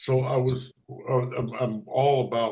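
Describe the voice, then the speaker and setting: A somewhat breathy male voice sits at a medium pitch. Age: 60s. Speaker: committee member. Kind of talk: meeting discussion. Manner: halting.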